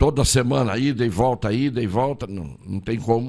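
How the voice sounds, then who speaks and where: Vocal fry runs through this voice, which moves at a moderate pace with ordinary pitch variation. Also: man. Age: 80s+. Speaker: lawyer and political candidate. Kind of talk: interview. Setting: studio.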